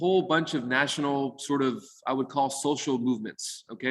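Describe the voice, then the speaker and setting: A man's fairly high-pitched voice, with fairly even intonation and very even loudness. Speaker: real estate lawyer. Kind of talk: presentation on a video call. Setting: video call. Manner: fast.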